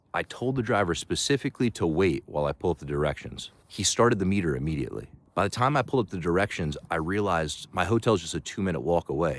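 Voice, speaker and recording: Talking at a very fast pace, a man with a very deep, low voice and vocal fry swings his pitch very widely, on a very clean recording with a silent background. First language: not Chinese; learned Mandarin. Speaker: travel vlogger. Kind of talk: vlog narration.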